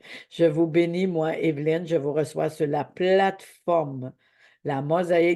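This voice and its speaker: A woman with a Quebec accent speaks at a fairly slow pace in a very deep, low pitch, with a dark, mellow tone and monotone, flat intonation. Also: quiet background. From Quebec, Abitibi. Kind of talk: devotional teaching. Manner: halting.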